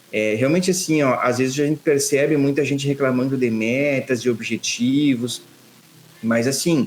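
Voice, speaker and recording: Against noticeable background noise, a man talks at a moderate pace with a fairly high pitch. His intonation is fairly even and his loudness very even. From Rio Grande do Sul, Brazil (São Borja, western border). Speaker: financial planner, former bank manager. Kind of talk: podcast interview.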